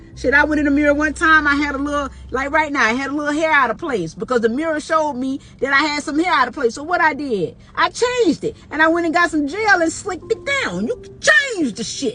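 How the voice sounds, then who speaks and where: An animated, raised and projected voice rushes along at a very fast pace with lively intonation. Noticeable background noise runs underneath. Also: woman, high pitch for a woman. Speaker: podcast host. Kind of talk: motivational monologue. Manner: loud.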